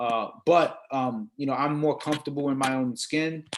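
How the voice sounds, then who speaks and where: This man, in an American accent, speaks at medium pitch with fairly even intonation. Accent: Brooklyn and Dominican. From Brooklyn, New York, Dominican family. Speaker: sports industry executive. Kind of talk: panel discussion. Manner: halting, many repeated words.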